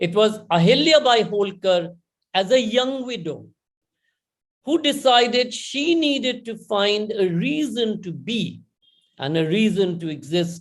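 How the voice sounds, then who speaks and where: The speaker talks at a fairly slow pace with lively intonation, in a Bengali accent. Room echo is audible. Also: man, high pitch for a man. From India. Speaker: conference speaker. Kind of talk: conference talk. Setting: online conference.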